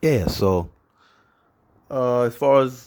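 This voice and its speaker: The speaker is a man with a medium pitch. The recording is very clean, and the background is silent. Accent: American. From New York and Trinidad. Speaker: tech YouTuber. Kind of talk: product unboxing. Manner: casual, hesitant with fillers.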